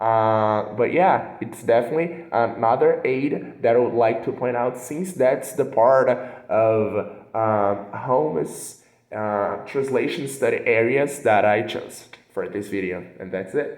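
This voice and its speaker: With a Portuguese accent, a man speaks at a fairly slow pace in a medium pitch with ordinary pitch variation. Audible room echo surrounds his voice. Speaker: translation student. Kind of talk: recorded class assignment presentation. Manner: hesitant, many fillers.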